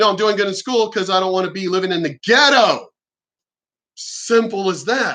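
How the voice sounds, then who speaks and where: This voice is raised and projected, bright and sharp in tone, with an American accent. The delivery is animated, at a moderate pace with ordinary pitch variation. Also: man, high pitch for a man. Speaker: youtuber. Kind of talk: casual monologue.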